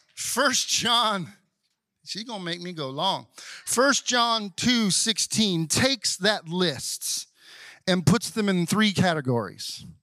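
On a very clean recording with a silent background, a man with a Southern US accent speaks at a very slow pace in a raised, projected voice, high in pitch, bright and sharp in tone, with lively intonation. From US South. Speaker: pastor. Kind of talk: Sunday morning church sermon, call-and-response with congregation. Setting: church service with congregation. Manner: conversational, asides and humor, coaxing amens from the crowd; building preacher cadence, rising intensity.

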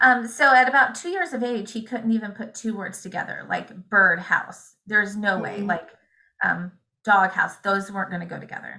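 A woman's bright, sharp tone sits at medium pitch with ordinary pitch variation. She moves at a moderate pace, with big swings in loudness. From Indiana, US Midwest. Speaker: homeschooling mother. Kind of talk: interview.

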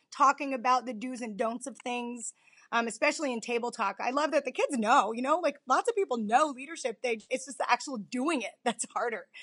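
A woman's energetic, high-pitched voice at a fairly quick pace, with ordinary pitch variation. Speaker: high school teacher and activities director. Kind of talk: interview.

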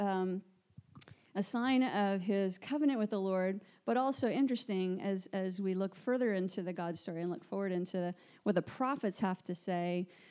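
In a very clean recording with a silent background, a woman with an ordinary speaking voice speaks at a moderate pace, at medium pitch with ordinary pitch variation. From Canada. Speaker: church worker and Bible teacher. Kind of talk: Bible teaching talk. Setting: small room with audience, recorded.

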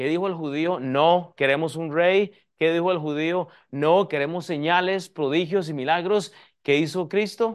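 Fairly slow, fairly high-pitched male speech with ordinary pitch variation. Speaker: pastor. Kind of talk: sermon. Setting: church. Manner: teaching, repeatedly addressing the audience as 'hermanos' and urging 'escúcheme'.

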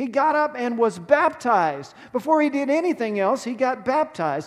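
Lively in intonation, a man with an American accent and an extremely high pitch talks at a moderate pace. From Texas. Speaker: pastor. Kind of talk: sermon. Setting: church.

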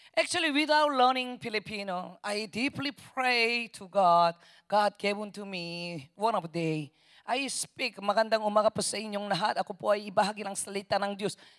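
Lively intonation and big swings in loudness at a fairly slow pace. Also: woman, medium pitch for a woman. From South Korea. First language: Korean (speaking Spanish). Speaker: missionary preacher. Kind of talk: sermon. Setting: church. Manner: halting.

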